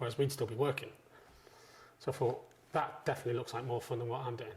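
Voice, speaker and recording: A man speaks at a very fast pace in a medium pitch. His voice is somewhat breathy, with monotone, flat intonation. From northwest England, Chester. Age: 40s. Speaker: chef. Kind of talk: interview. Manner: casual.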